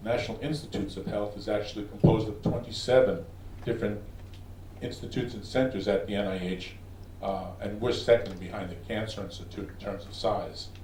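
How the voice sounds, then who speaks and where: A man with a New York accent talks at a fairly quick pace with ordinary pitch variation. Audible room echo surrounds his voice. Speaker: research scientist. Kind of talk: conference presentation. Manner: fast.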